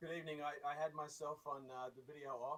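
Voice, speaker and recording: Fairly even intonation runs through a man's speech at a fairly quick pace. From Australia. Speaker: marketing executive. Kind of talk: meeting remarks. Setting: video call. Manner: halting, many repetitions.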